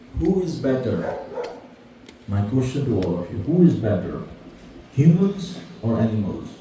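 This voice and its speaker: Speaking with a non-native accent at a moderate pace, a man makes very wide pitch swings and takes long, frequent pauses, with audible room echo and noticeable background noise. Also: medium pitch for a man. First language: not English. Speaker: spiritual speaker. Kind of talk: lecture. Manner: interactive, conversational.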